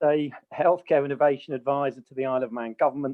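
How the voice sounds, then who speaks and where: Here a man has a normal speaking voice, fairly high in pitch. He speaks at a fairly quick pace. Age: 60s. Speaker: common law educator. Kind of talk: interview.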